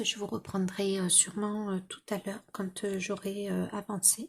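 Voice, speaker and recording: Soft-spoken and barely pausing, a woman talks at a medium pitch. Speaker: vlogger. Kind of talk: casual vlog chat. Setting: at home. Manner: hesitant, many fillers.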